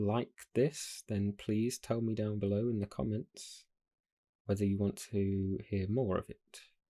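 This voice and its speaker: A soft-spoken voice with a calm, dark, mellow tone, at a very slow pace with fairly even intonation. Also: man. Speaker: audiobook reader channel host. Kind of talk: casual introduction to camera. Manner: soft-spoken, calm. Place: home room.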